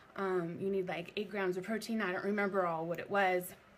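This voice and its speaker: A woman with a medium pitch talks fairly quickly, keeping her intonation fairly even. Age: 30s. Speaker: fitness coach. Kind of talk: live video talk. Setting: live video stream. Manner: halting.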